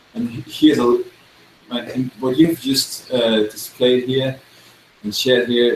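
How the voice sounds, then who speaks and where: Amid noticeable background noise, a man with a medium pitch speaks at a fairly slow pace and with fairly even intonation. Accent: Danish. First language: Danish. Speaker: worship songwriter. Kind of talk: encouraging feedback in a video chat.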